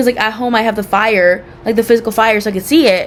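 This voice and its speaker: Over noticeable background noise, a woman with a fairly high pitch talks at a very fast pace with ordinary pitch variation. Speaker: cooking student vlogger. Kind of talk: casual self-assessment monologue. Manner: loud; rambling with many fillers.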